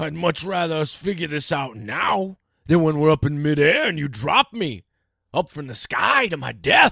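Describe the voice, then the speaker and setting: A man does a put-on character voice at a fairly high pitch and moderate pace. The sound is dry and close, with no echo. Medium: read story. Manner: laconic, dry, unimpressed.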